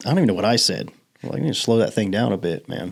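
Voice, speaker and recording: A fairly low male voice with vocal fry. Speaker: podcast host. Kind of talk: casual chat. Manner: fast.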